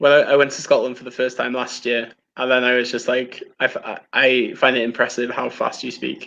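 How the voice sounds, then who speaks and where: With a bright, sharp tone, a man speaks fairly quickly at medium pitch, hardly pausing, in monotone, flat intonation. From Wales. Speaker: film live-streamer. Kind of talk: casual chat. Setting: live stream.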